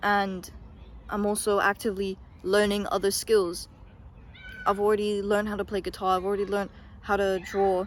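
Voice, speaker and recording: A woman speaks at a fairly quick pace and a medium pitch, her intonation monotone and flat, with long, frequent pauses. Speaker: youtuber. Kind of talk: casual monologue. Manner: hesitant, filler words.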